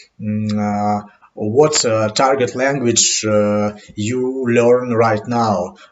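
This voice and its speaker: The speaker talks at a very slow pace with a non-native accent. The intonation stays fairly even. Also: man, medium pitch for a man. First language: not English. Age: 30s. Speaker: English learner vlogger. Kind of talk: unscripted monologue podcast. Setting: home webcam recording. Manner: halting, many fillers.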